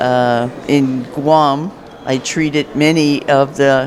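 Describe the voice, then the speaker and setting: Noticeable background noise under a man's fairly high pitch and fairly even intonation. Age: 70s. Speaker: retired navy nurse, veteran. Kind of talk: testimony.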